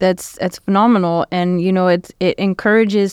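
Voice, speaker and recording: Captured in a dry, close sound with no echo on a very clean recording with a silent background, a woman speaks at a moderate pace in a normal speaking voice. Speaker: community radio host. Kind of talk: casual radio interview. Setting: radio studio. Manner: warm, upbeat.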